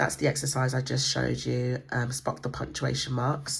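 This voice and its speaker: The delivery is rather slow. An English accent is heard. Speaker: homeschool book reviewer. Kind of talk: book flip-through tutorial. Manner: hesitant, many fillers.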